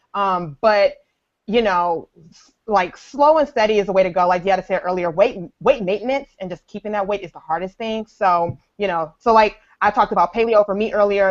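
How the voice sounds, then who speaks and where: A woman with an unremarkable speaking voice and an American accent talks at a fairly quick pace and medium pitch. Her pitch varies in an ordinary way, while her loudness swings widely. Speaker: personal trainer and fitness blogger. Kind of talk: casual chat.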